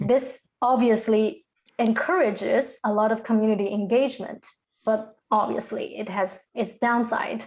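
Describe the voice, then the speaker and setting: With a Chinese accent, a woman speaks at a fairly high pitch and with fairly even intonation. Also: moderate pace. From China. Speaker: crypto content creator. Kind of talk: podcast interview.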